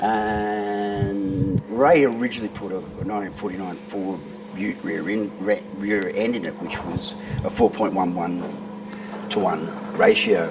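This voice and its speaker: A man speaks at a fairly slow pace with a fairly low pitch and ordinary pitch variation. Background noise is noticeable, along with audible room echo. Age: 60s. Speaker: classic car owner. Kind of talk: casual interview.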